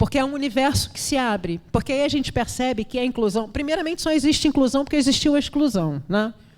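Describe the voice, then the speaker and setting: A woman talks at a very fast pace with hardly any pauses. Her high pitch rises and falls with lively intonation. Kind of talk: panel discussion. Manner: repetitive hesitations.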